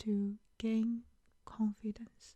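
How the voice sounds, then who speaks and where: Her pace very slow, a woman uses a fairly high, somewhat breathy voice with a dark, mellow, soothing tone. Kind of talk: ASMR comfort talk.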